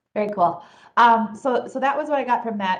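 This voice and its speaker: Talking at a fairly quick pace, a woman has an American accent. Her pitch varies in an ordinary way. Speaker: county staff member. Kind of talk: public meeting report. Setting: county board meeting room. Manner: loud.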